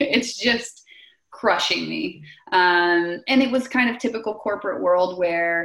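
A woman's fairly low voice at a fairly slow pace, an unremarkable speaking voice. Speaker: real estate investor. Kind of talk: interview conversation.

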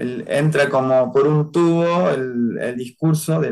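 Pitched fairly high, a man with a plain, everyday voice speaks with ordinary pitch variation. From Argentina, Córdoba. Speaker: human rights activist. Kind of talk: interview testimony.

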